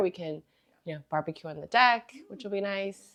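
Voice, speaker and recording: In a General American accent, a woman uses a normal speaking voice at medium pitch with lively intonation. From US, Chinese American family. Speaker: home cook interviewee. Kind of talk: casual interview.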